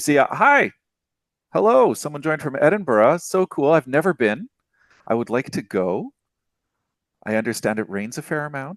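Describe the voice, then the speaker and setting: In a North American accent, the speaker uses very wide pitch swings and long, frequent pauses, with a dry, close sound and no echo. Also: man, fairly high pitch for a man, moderate pace, quiet background. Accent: generic North American. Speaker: developer relations manager and webinar host. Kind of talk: live webinar presentation. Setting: live online webinar.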